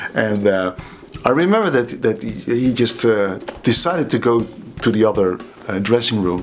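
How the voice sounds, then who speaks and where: A man speaks with a Dutch accent at medium pitch and ordinary pitch variation. Noticeable background noise runs behind him. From Netherlands, Waalwijk. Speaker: drummer and drum teacher. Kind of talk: casual storytelling. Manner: halting, many fillers and repeats.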